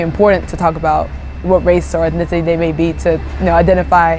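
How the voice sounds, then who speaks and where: Music plays in the background as a woman with a Japanese accent talks at a fairly quick pace. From Japan (Ibaraki). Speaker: interviewee. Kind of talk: interview. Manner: hesitant, many fillers.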